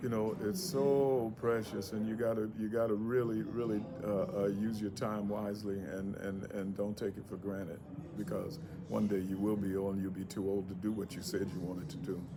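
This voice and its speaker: Music plays in the background as a man talks at a moderate pace with a fairly low pitch. His voice shows ordinary pitch variation, and the room echo is audible. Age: 60s. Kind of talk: public speech. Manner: halting, many repetitions.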